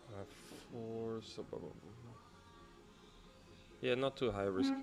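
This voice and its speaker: Music plays behind a man of medium pitch who talks very slowly with fairly even intonation. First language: Dutch. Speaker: forex and crypto trader streaming live. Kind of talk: live trading stream chat. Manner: thinking aloud, hesitant with fillers.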